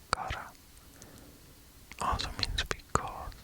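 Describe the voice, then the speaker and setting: A man whispering in a calm tone over noticeable background noise. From Switzerland. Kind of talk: ASMR sleep whisper, casual educational talk. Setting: close binaural microphone, under a blanket. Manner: whispered, soft-spoken, calm, slow.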